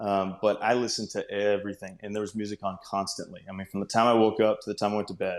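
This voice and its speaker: A man with a Texan accent, a fairly low pitch and a monotone, flat intonation at a very fast pace, on a very clean recording with a silent background. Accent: Texan (US Southern). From North Texas. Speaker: country singer-songwriter. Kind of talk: interview.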